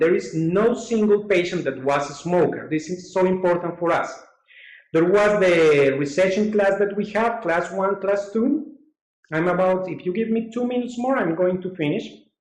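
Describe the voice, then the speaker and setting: Recorded with audible room echo, a man speaks in a high pitch with ordinary pitch variation. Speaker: dental surgeon presenting webinar. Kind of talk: webinar lecture.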